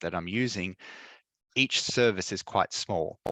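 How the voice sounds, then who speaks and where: A man with an Australian accent, bright and sharp in tone, dry and close with no echo, against a quiet background. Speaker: tech presenter. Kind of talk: tutorial. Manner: fast; hesitant, many fillers.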